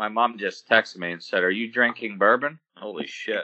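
The delivery is a normal speaking voice at a moderate pace with ordinary pitch variation. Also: man. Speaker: podcast co-host. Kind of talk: casual banter about NFL draft.

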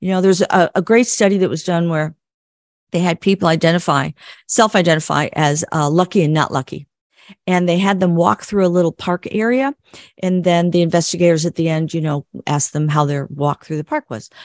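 A woman's fairly low voice with an American accent, an ordinary speaking voice at a fairly quick pace, ordinary pitch variation, and a dry, close sound with no echo against a quiet background. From US Midwest. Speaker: psychologist and clinical social worker. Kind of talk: interview.

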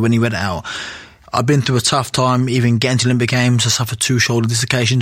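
A man at a medium pitch and very fast pace, with noticeable background noise. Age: 30s. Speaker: retired Olympic boxer. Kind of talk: casual chat.

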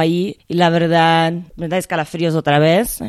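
A woman speaks with a Portuguese accent at a moderate pace, her pitch fairly low. The recording is very clean, with a silent background. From Brazil (Rio de Janeiro). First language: Portuguese (speaking Spanish). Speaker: cinematographer. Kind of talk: interview. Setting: at the guest's home.

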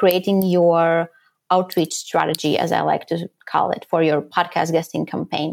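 A woman's fairly slow speech in a very clean recording with a silent background. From Latvia. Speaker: podcast guesting strategist. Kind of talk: interview.

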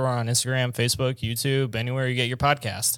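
There is a male speaker with a medium pitch. The recording is very clean and the background silent. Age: 20s. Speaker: studio director and baseball podcaster. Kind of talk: casual chat.

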